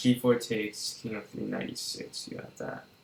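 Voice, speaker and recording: Quiet and at a fairly slow pace, a man speaks. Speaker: chess streamer. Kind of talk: live commentary. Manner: animated.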